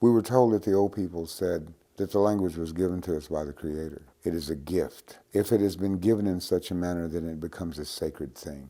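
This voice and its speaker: A man talks at a fairly quick pace with a very deep, low pitch and a dark, mellow tone. His pitch varies in an ordinary way, and the recording is very clean with a silent background. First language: Cherokee. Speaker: Cherokee language teacher. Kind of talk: interview monologue.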